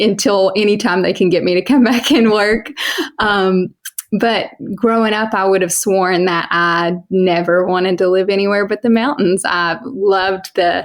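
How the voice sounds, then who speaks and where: Speaking in an Eastern Kentucky accent, a woman talks at a fairly slow pace and a medium pitch. Her intonation is fairly even and her loudness very even. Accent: Eastern Kentucky Appalachian. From Eastern Kentucky (Johnson County). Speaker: homesteader and sheep farmer. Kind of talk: podcast interview. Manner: casual, conversational.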